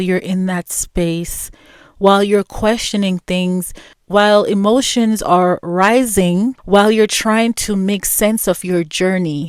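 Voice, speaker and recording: Soft-spoken and very slow, a woman talks at medium pitch with ordinary pitch variation on a very clean recording with a silent background. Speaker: podcast host. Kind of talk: personal reflective monologue. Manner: slow, with pauses.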